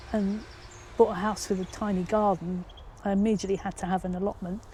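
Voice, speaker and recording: A woman's voice at medium pitch. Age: 60s. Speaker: retired head teacher. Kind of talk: interview answer.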